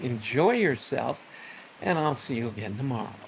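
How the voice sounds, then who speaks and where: Speaking at a moderate pace with an American accent, a man sounds somewhat breathy. His fairly high pitch moves in very wide swings. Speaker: Bible teacher. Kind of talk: devotional talk. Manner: stuttering.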